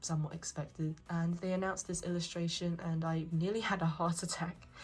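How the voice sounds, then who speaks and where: A woman speaks with a fairly low pitch and fairly even intonation. Music plays in the background. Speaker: anime merchandise collector and haul reviewer. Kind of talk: casual talk to camera.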